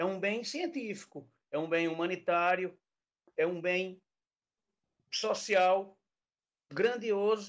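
At a very slow pace, a man speaks with ordinary pitch variation and long, frequent pauses. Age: 50s. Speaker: Portuguese teacher, university civil servant. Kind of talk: casual chat. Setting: live-streamed podcast.

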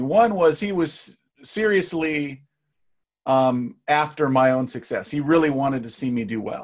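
A man's unremarkable speaking voice, fairly slow in pace with lively intonation. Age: middle-aged. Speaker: marketing entrepreneur. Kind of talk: casual interview.

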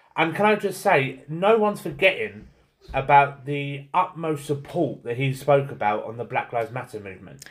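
At a moderate pace, a man talks in a somewhat breathy voice at a fairly high pitch, with lively intonation and big swings in loudness. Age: 30s. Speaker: podcast co-host. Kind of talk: casual chat.

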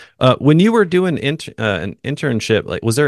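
With a dry, close sound, no echo and a quiet background, a man talks at a moderate pace with ordinary pitch variation in an unremarkable speaking voice. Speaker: podcast host. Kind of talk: casual interview chat. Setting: video call.

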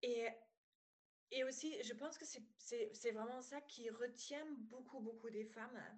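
A woman with a slight German accent speaks very slowly at a high pitch with fairly even intonation. Long pauses come often. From Germany (former East). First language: German (speaking French). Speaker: psychologist and business coach. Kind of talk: podcast interview. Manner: hesitant, many fillers.

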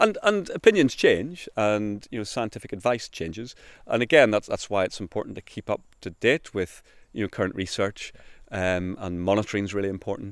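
Speaking at a fairly quick pace with a Northern Irish accent, a man is heard in a very clean recording with a silent background and a dry, close sound with no echo. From Northern Ireland. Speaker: countryside ranger. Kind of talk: interview. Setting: outdoors.

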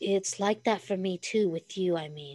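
A husky, put-on character voice sits at a middle pitch. It moves at a moderate pace. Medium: read story. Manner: quiet, terse.

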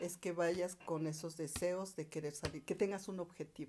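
A woman's fairly low voice with a dark, mellow tone at a moderate pace. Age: 60s. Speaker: multi-level marketing entrepreneur. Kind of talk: interview.

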